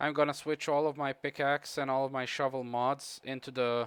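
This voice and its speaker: A man's medium-pitched voice with a Croatian accent, fairly quick pace, monotone, flat intonation, and a dry, close sound with no echo. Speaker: gaming streamer. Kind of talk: live gameplay commentary with chat. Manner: casual, halting with fillers.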